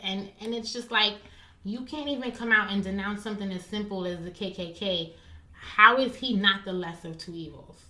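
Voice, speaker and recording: A woman speaks at a moderate pace with an American accent and a medium pitch. Her pitch varies in an ordinary way, and there is noticeable background noise. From US, Haitian American. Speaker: podcast guest. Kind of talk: casual chat.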